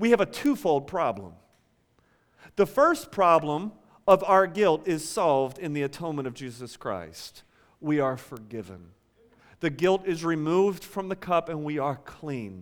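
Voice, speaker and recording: In a normal speaking voice, someone talks at a moderate pace with lively intonation, recorded very cleanly against a silent background. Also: man, fairly high pitch for a man. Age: 30s. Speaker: pastor. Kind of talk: sermon. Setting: church.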